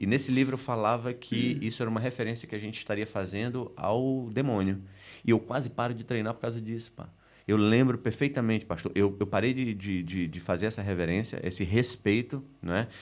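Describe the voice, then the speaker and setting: A man with an ordinary speaking voice talks fairly quickly at medium pitch with fairly even intonation, on a very clean recording with a silent background. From Recife, northeast Brazil. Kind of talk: casual chat.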